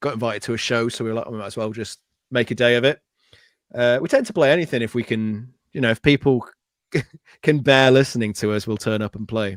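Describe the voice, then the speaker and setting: A man speaks at medium pitch and a very fast pace, with fairly even intonation and long, frequent pauses. The recording is very clean with a silent background, and the sound is dry and close with no echo. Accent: North Welsh. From North Wales (Anglesey). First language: Welsh. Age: 40s. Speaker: effects pedal builder. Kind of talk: casual chat.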